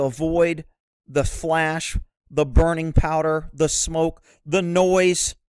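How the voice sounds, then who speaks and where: The man's pitch is fairly high and his pace very slow. The sound is dry and close, with no echo. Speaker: horse-welfare video creator. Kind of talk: angry rant, sarcastic and scornful, aimed at mounted shooting fans; opinionated video commentary. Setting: online video with pictures shown. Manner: sarcastic.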